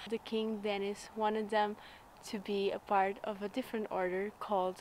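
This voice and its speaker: A woman talks at a moderate pace in a monotone, flat intonation, the sound dry with no echo and light noise behind her. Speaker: travel vlogger. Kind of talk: casual vlog chat. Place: street. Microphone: phone near.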